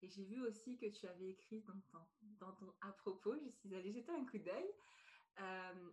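With long, frequent pauses, a woman speaks at a fairly slow pace in a medium pitch, somewhat breathy, with ordinary pitch variation. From France. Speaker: podcast host and personal development coach. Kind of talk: podcast interview.

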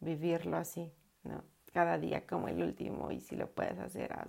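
A woman speaks with a very deep, low pitch, a dark, mellow tone and vocal fry. Her pitch swings very widely. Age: 30s. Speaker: podcaster and life coach. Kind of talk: casual personal monologue. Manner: halting with frequent repetitions.

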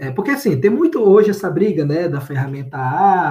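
Lively intonation runs through this man's speech, delivered at a moderate pace. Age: 30s. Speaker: data engineer. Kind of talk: interview. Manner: casual, with many fillers and repetitions.

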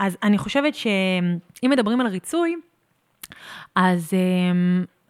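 On a very clean recording with a silent background, a woman of medium pitch speaks at a fairly slow pace. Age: 30s. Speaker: pilates studio owner. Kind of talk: casual interview chat. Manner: halting, repeats words.

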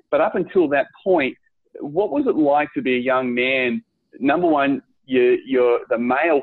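At a moderate pace and very even loudness, a man speaks in an ordinary speaking voice with ordinary pitch variation. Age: 40s. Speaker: podcast host. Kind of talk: interview.

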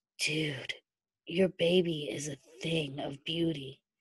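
A put-on character voice, raspy and hoarse, at middle pitch and a fairly slow pace

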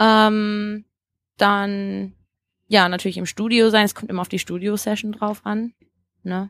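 In a very clean recording with a silent background and a dry, close sound with no echo, a woman at a medium pitch speaks fairly slowly in a monotone, flat way with long, frequent pauses. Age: 20s. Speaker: singer and vocal coach. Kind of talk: casual interview.

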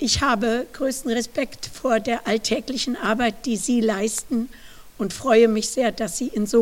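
This woman speaks at a very slow pace. Her voice is fairly high, with ordinary pitch variation. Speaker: professor. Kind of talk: lecture.

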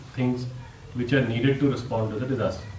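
A man's voice with ordinary pitch variation, amid noticeable background noise and audible room echo. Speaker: NGO founder. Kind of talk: interview conversation.

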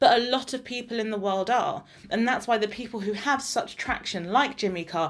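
This woman talks at a fairly quick pace in an English accent, her medium pitch rising and falling by an ordinary amount. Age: 20s. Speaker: podcast co-host. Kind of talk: casual chat.

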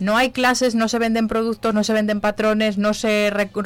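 An ordinary speaking voice, female, pitched fairly high and moving at a moderate speed. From Zamora, Spain. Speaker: knitting charity group organiser and entrepreneur. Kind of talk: radio interview. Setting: radio studio.

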